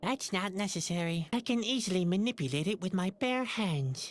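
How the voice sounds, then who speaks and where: A put-on character voice, female-sounding and middle-pitched, at a moderate pace. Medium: video game. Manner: dry, sardonic.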